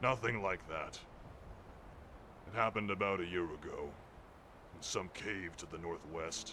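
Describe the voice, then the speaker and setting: Over clear background noise, a man uses a put-on character voice at a fairly low pitch and a moderate pace. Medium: video game. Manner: brash, sarcastic, boastful.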